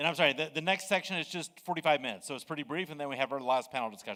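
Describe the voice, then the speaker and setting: A man with an American accent at a very fast pace, fairly high in pitch, bright and sharp in tone, with ordinary pitch variation. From United States. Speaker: conference moderator. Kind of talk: conference moderation to a live audience. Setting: conference stage with audience. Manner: casual, joking.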